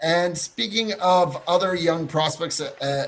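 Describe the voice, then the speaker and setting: This man speaks with a fairly high pitch. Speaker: hockey podcast co-host. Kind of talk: casual podcast chat. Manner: halting, tripping over words.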